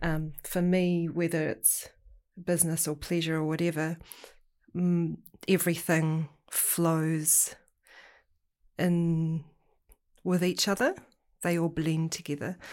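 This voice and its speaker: In a very clean recording with a silent background, a woman speaks very slowly at a fairly low pitch, her intonation flat and monotone, with long, frequent pauses. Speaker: te reo Māori student, business owner. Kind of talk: casual chat.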